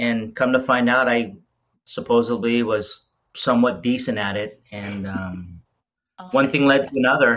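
With an American accent and an ordinary speaking voice, a man talks at medium pitch and a moderate pace, showing ordinary pitch variation and big swings in loudness. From Las Vegas, Nevada. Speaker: pastry chef and bakery owner. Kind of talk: casual interview chat.

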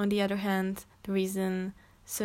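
A woman speaks in a Czech accent. The recording is very clean, with a silent background. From Czech Republic. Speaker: podcast host. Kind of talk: solo monologue. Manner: halting.

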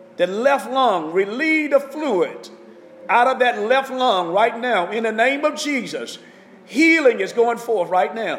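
With noticeable background noise behind him, a man speaks at a fairly slow pace in an extremely high pitch and lively intonation. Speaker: pastor. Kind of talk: fervent intercessory prayer and healing declarations. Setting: online broadcast to listeners at home. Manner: impassioned, urgent, exhorting, pleading and proclaiming with rising intensity; repetitive, rhythmic, call-and-response style with commanding declarations.

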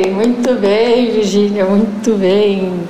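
A woman speaks at a fairly high pitch amid noticeable background noise and audible room echo. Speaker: podcast host. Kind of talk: interview conversation.

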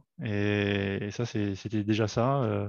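Against a quiet background, a man speaks at a fairly low pitch with a dry, close sound and no echo. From France, Paris region (Fresnes). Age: 40s. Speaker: amateur football player, referee and club volunteer. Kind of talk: casual interview. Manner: halting, many repetitions.

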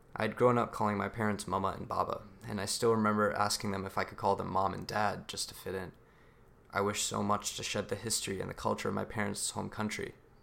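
In an American accent, the speaker rattles along at a very fast pace. The intonation is monotone and flat, with vocal fry. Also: man, fairly low pitch for a man. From US, son of Pakistani immigrants. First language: Urdu. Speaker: student speaker. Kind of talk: prepared speech. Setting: stage with audience.

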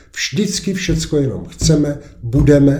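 Somewhat breathy and dark, mellow in tone, a man talks at a moderate pace in a room with audible echo. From Czech Republic, east of Prague. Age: 70s. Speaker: lawyer and local resident. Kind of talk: casual interview.

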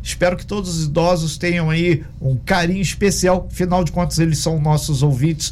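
A man's high voice at a moderate pace with hardly any pauses and fairly even intonation, plus audible room echo and noticeable background noise. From Minas Gerais, Brazil. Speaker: radio host. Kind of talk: radio interview.

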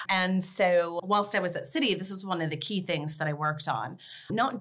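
A woman with an American accent speaks in an ordinary speaking voice. Her pitch is fairly low, with ordinary variation, at a moderate pace. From California (Los Angeles area). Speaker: crypto policy executive. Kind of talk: interview.

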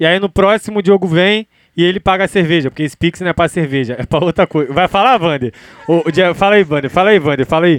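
The speaker is a man with a high pitch and ordinary pitch variation. He goes at a very fast pace. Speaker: host. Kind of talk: casual chat. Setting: home studio. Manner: casual, slangy.

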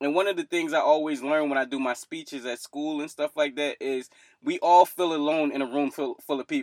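A man with a fairly high pitch and a Philadelphia accent, fairly quick pace and fairly even intonation, in a dry, close sound with no echo. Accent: Philadelphia American English. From US East Coast, Philadelphia. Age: 20s. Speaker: mental health podcaster. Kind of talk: casual interview.

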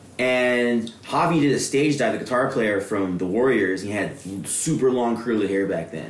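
Audible room echo surrounds a man's voice. He has a medium pitch and hardly any pauses. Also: ordinary pitch variation, moderate pace. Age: 30s. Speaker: hardcore scene show promoter. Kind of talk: casual chat.

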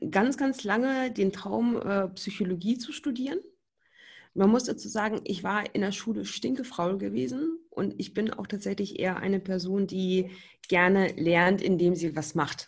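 On a very clean recording with a silent background, a woman with a medium pitch and a somewhat breathy voice speaks at a fairly slow pace with lively intonation. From Berlin, Germany. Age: 20s. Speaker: hearing aid acoustician. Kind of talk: podcast interview.

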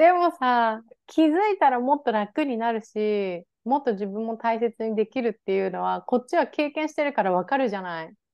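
With a plain, everyday voice, a woman speaks at a moderate pace in a fairly high pitch, her intonation lively and with hardly any pauses. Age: 30s. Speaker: podcast co-host. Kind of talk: casual chat.

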